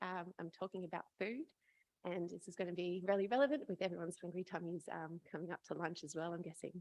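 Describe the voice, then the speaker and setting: A woman at a medium pitch, very fast in pace, in a dry, close sound with no echo. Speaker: PhD student presenter. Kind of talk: conference presentation. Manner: halting.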